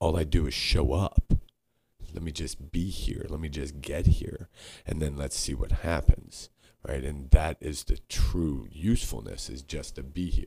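Very deep, low male voice with vocal fry, dark and mellow in tone, ordinary pitch variation and a moderate pace. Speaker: podcast co-host. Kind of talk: casual chat. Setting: studio.

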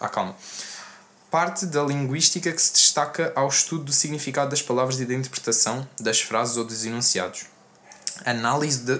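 Noticeable background noise sits behind a man speaking at a moderate pace. He has a medium pitch and ordinary pitch variation. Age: young. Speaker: rapper. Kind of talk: casual chat.

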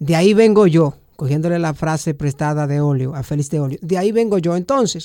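On a very clean recording with a silent background, a man with a high pitch talks at a moderate pace and with lively intonation. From Dominican Republic, rural Samaná. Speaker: journalist. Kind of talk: interview.

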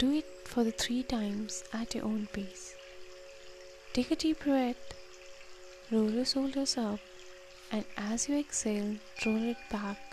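A woman with a fairly high pitch talks at a fairly slow pace in a soothing, gentle tone. Her long, frequent pauses sit over music in the background. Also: ordinary pitch variation. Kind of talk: guided meditation. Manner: slow, soothing and gentle, with long pauses between instructions; warm, encouraging and inviting.

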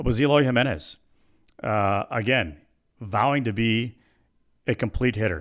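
The recording is very clean, and the background is silent. A man talks at a moderate speed. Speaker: baseball radio broadcaster and podcast host. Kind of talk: solo podcast monologue. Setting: home studio. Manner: casual, filler-heavy.

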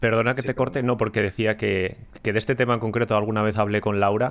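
Very fast, monotone, flat delivery from a man with a fairly low voice. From Ponferrada, Spain. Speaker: podcast host. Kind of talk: casual chat. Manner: hesitant, many fillers.

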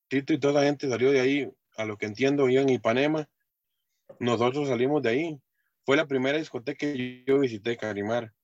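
Fairly quick, fairly even intonation, dry and close with no echo, over music in the background. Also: man, medium pitch for a man. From Costa Rica, Heredia. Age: 30s. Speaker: swing dancer and truck driver. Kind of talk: interview. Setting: video call.

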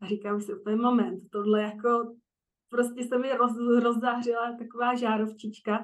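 Flat, monotone intonation runs through speech delivered at a moderate pace. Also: woman, fairly high pitch for a woman. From Czechia, Prague. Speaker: coach for highly sensitive women. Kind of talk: interview.

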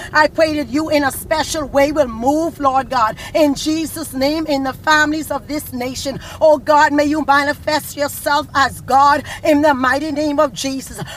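A woman's high-pitched, intense voice in monotone, flat intonation, at a moderate pace with hardly any pauses, over noticeable background noise. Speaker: prayer leader. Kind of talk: fervent prayer. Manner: fervent, intense, pleading; forceful, commanding when rebuking evil.

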